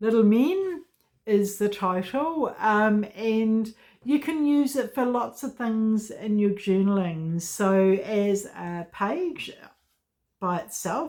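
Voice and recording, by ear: A woman speaks slowly at a medium pitch. Her intonation is lively and her tone slightly mellow.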